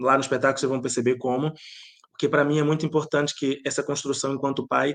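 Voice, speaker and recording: The intonation is monotone and flat as a man talks at a fairly quick pace. His pitch is fairly high. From Bahia, Brazil. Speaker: playwright and theatre director. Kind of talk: interview.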